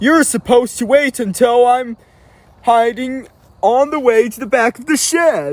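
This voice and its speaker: A man in a put-on character voice with extremely high pitch at a moderate pace. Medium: read story. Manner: brash.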